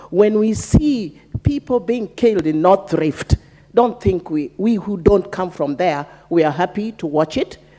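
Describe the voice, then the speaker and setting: Noticeable background noise runs under the speech. The intonation is lively. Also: woman, medium pitch for a woman. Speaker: member of parliament. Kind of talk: parliamentary debate speech. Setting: parliament chamber.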